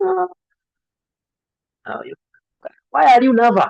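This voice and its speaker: With a Kenyan accent, a man speaks in very wide pitch swings. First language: Kikuyu. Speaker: medical student tutor, YouTuber. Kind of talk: online lecture Q&A. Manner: hesitant, many fillers.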